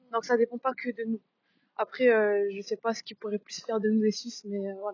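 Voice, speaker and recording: This woman talks at a fairly quick pace and a fairly high pitch, in a monotone, flat intonation. Her loudness swings widely. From Switzerland, Sion (Valais). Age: young. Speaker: documentary interviewee. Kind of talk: interview.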